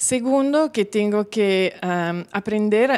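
Her pace is very slow. The woman uses ordinary pitch variation. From Milan, Italy. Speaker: course participant. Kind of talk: testimonial interview; interview answer. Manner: halting. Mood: warm, smiling. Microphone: handheld.

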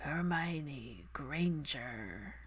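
It is a hoarse, put-on character voice. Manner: menacing.

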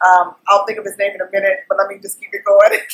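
The woman's intonation is lively, and the background stays quiet. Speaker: vlogger. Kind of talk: casual vlog chat, TV review. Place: home room. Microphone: webcam.

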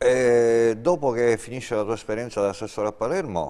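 At a moderate pace, the voice carries a dark, mellow tone. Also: man. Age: 50s. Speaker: tv talk show host. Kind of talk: political interview. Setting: studio. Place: studio. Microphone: lapel.

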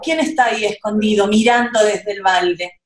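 A woman at a moderate pace, with audible room echo around her. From Argentina. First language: Spanish. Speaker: children's book illustrator. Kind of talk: storytelling summary in Spanish for children. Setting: video call. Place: home room. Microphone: video call.

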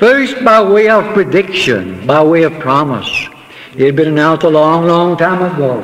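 Light noise sits behind speech delivered at a moderate tempo. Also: man. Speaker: preacher. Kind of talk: sermon. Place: church. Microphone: old recording.

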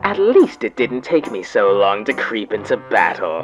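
Faint music plays in the background as a put-on character voice at a low-to-middle pitch speaks at a moderate pace. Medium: fan dub. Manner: disdainful, haughty.

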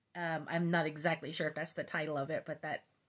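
Quiet background behind a woman speaking. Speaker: crochet crafter vlogger. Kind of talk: casual vlog chat. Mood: cheerful, laughing. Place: home room.

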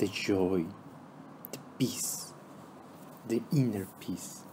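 A man at a very slow pace with ordinary pitch variation, over noticeable background noise. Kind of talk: guided meditation. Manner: slow, calm, soothing, with long pauses between trilingual instructions.

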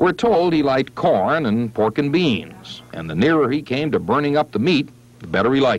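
Moderate-paced male speech with very wide pitch swings and vocal fry, dry with no echo. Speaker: TV news reporter narrator. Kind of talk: news feature narration.

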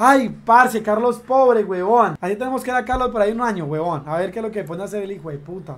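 Spoken at a very fast pace in a theatrical tone, with light background noise. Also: man. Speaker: streamer. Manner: loud, indignant and furious, shouting with repeated insults and rhetorical questions; excitable, exaggerated, theatrical outbursts with hammered repetition. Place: home room. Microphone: headset.

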